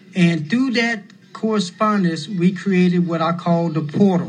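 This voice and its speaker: His intonation holds fairly even. The man's voice is high in pitch. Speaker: former prisoner and advocate. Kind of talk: oral history testimony. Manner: halting.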